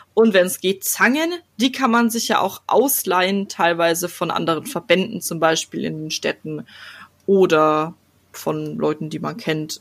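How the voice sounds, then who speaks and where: On a very clean recording with a silent background, a woman with a plain, everyday voice speaks at a fairly slow pace and fairly low pitch with ordinary pitch variation. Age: 20s. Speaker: podcast host. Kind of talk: casual chat.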